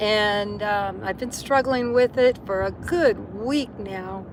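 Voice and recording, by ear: Slow and raspy, a woman talks at a medium pitch with ordinary pitch variation.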